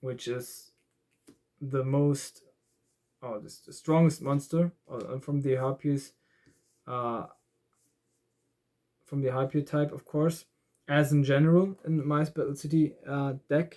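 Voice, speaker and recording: A man's fairly high voice in a dark, mellow tone, very slow with long, frequent pauses, fairly even intonation and big swings in loudness. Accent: German. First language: German. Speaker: card game YouTuber. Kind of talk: tutorial. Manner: halting.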